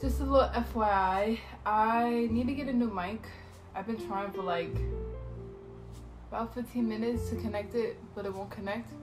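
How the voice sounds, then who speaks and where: A woman speaks at a fairly slow pace. Music plays clearly in the background. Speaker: vlogger. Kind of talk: casual vlog chat. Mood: warm, relaxed. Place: home room. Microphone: phone near.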